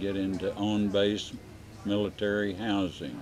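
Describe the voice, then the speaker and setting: A man speaks slowly-ish, at a fairly slow pace and a fairly low pitch. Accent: Texan. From Texas. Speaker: community developer, war veteran. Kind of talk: interview. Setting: winery cafe. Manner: halting, many filler sounds.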